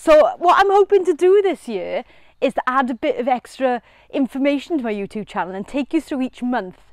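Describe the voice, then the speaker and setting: Over a quiet background, a woman talks very fast at a high pitch with very wide pitch swings and a dry sound with no echo. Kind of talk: casual gardening vlog chat. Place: garden.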